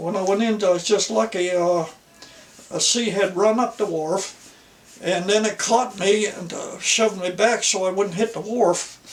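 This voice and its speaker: There is noticeable background noise as a man with a high pitch speaks at a moderate pace with fairly even intonation. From Nova Scotia. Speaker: former fisherman, folk artist. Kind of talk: storytelling interview.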